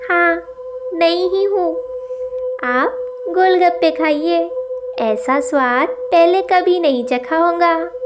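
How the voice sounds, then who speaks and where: In a cartoonish character voice with a high pitch, a woman speaks at a very slow pace with long, frequent pauses over clear background noise. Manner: sweet on the surface, sinister underneath.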